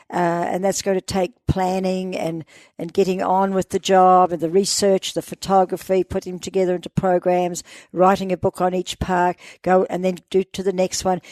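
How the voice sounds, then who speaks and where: A woman with a New Zealand accent speaks at a moderate pace and a medium pitch, in a monotone, flat intonation. The sound is dry and close with no echo, over a quiet background. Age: 80s+. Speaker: explorer. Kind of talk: interview.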